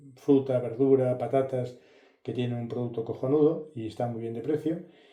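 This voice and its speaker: Audible room echo surrounds this voice. A man talks in a dark, mellow tone. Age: 60s. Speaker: car and tech youtuber. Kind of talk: casual vlog review. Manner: halting, many fillers.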